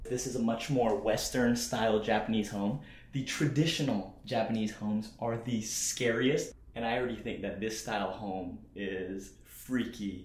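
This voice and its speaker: Heard with audible room echo, a man with a somewhat breathy voice talks at a moderate pace with fairly even intonation. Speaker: car vlogger. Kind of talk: casual vlog chat. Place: home room. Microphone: phone near.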